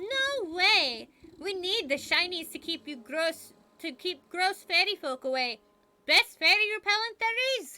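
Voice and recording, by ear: A woman's cackling put-on character voice, extremely high in pitch, at a fairly slow pace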